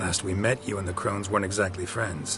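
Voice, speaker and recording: In a put-on character voice with a fairly low pitch, a man talks at a very fast pace over clear background noise. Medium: machinima. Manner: terse, dry.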